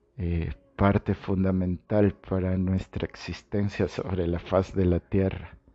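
Very deep and low, a man's voice moves at a very slow pace with monotone, flat intonation. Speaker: health podcast host. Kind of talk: monologue podcast. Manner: halting with repetitions.

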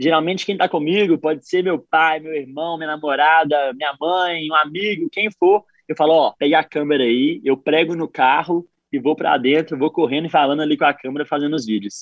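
A man with a fairly high pitch talks at a fairly quick pace with hardly any pauses and ordinary pitch variation. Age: 20s. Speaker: running content creator and entrepreneur. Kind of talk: radio interview. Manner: energetic.

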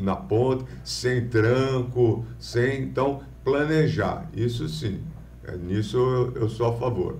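A man talks at a very slow pace in a medium pitch. His pitch varies in an ordinary way amid audible room echo. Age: 50s. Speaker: businessman and lawyer. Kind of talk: interview on a live podcast. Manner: halting, many false starts.

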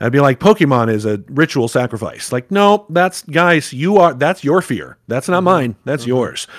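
With an American accent, a man speaks in a plain, everyday voice at a fairly high pitch, moderate pace, and lively intonation, with hardly any pauses. The recording is very clean with a silent background and a dry, close sound with no echo. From US South. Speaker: game master and actor. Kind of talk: casual chat.

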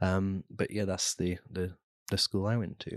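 Against a quiet background, a man with a Lincolnshire accent speaks at a moderate pace. His pitch is very deep and low, and the sound is dry and close with no echo. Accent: northern English (Lincolnshire). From Lincolnshire, England. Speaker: entrepreneur. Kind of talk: interview. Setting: studio.

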